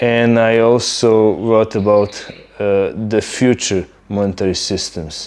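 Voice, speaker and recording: With a Serbian accent, a man speaks at a very slow pace in a fairly low pitch and fairly even intonation, over noticeable background noise. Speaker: YouTuber. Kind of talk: casual monologue. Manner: hesitant, many fillers.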